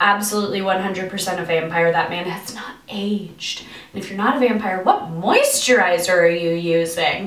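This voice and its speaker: With audible room echo, a woman speaks at a fairly slow pace. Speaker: comedy news host. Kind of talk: comedic news commentary. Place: bathroom.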